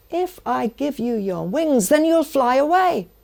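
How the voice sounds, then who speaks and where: A put-on character voice moves at a fairly slow pace with very wide pitch swings. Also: woman, high pitch for a woman. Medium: stage play.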